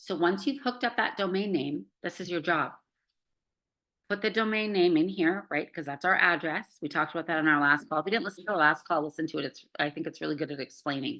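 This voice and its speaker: A woman's fairly low-pitched voice, bright and sharp in tone, at a very fast pace. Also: lively intonation. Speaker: online course coach. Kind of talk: live group video call tutorial. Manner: casual, filler-heavy.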